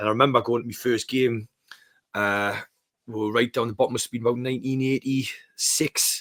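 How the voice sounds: A man with a Geordie accent speaks at a fairly quick pace with ordinary pitch variation. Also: fairly bright tone. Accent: Geordie, Newcastle.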